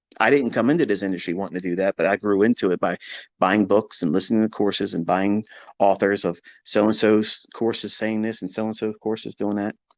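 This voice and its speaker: Over a quiet background, a man with a plain, everyday voice talks at a fairly quick pace, fairly low in pitch with fairly even intonation and a dry, close sound with no echo. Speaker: trading educator. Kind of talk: casual lecture on a live audio space. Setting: Twitter audio space.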